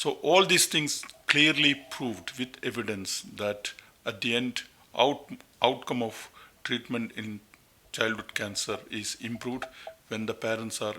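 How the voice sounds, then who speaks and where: At a fairly slow pace with long, frequent pauses, a man with a Keralan accent speaks at medium pitch with ordinary pitch variation over noticeable background noise. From India, Kerala. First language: Malayalam. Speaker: pediatric oncologist. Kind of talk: interview.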